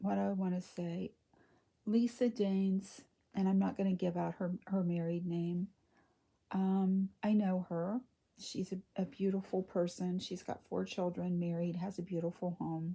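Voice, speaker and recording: Speaking softly and somewhat breathily in an American accent, a woman with a medium pitch and a dark, mellow tone talks at a fairly slow pace in a flat monotone, captured in a very clean recording with a silent background. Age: 60s. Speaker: reborn doll collector / vlogger. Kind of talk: casual chat. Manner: soft-spoken.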